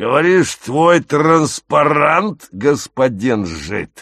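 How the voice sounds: A man uses a put-on character voice with a fairly bright tone and a fairly high pitch. He goes at a very slow pace with big pitch swings.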